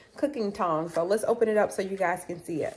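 A woman's voice over noticeable background noise. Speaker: haul vlogger. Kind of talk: casual product haul review. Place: kitchen. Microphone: phone near.

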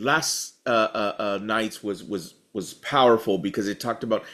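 A man talks at a moderate pace. Behind him, the background is quiet. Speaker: pastor. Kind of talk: bible study teaching.

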